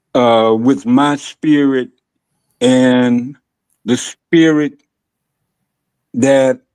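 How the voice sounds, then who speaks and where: A man's medium-pitched voice with an American accent, very slow and fairly even in intonation, with long, frequent pauses. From Los Angeles, California (South Central/Compton). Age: 70s. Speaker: guest in recovery, longtime friend of host. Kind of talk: interview. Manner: halting, many fillers.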